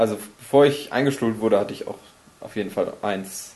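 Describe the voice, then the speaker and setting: A man talks with ordinary pitch variation. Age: 20s. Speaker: podcast host. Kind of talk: casual chat.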